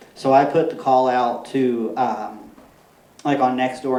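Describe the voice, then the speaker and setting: There is audible room echo and noticeable background noise. Through it, a man speaks at a medium pitch. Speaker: permaculture consultant and speaker. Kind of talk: conference talk. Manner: fast.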